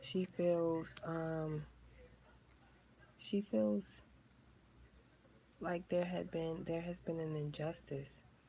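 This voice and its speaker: With a New York accent and a dark, mellow tone, the speaker goes at a very slow pace, somewhat breathy, with long, frequent pauses and ordinary pitch variation. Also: woman, fairly low pitch for a woman. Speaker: tarot reader. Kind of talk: tarot reading to camera. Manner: animated.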